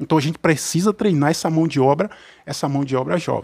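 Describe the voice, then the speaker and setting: A man talks at a very fast pace. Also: quiet background. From Cruz das Almas, Bahia; Bahia. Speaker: military police officer and council candidate; council candidate. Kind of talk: radio interview. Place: studio. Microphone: studio mic.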